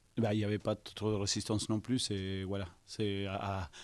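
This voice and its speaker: In a very clean recording with a silent background, a man with a fairly low pitch speaks at a fairly slow pace. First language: not French (speaking French). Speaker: football coach. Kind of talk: press conference. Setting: post-match press conference. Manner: halting, many hesitations.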